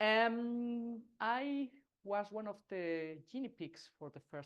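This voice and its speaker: Very wide pitch swings mark this voice with a Spanish accent. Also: man. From Spain, Basque. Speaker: agile consultant and speaker. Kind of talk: talk to a meetup audience. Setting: stage with audience, also streamed online. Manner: halting, many fillers.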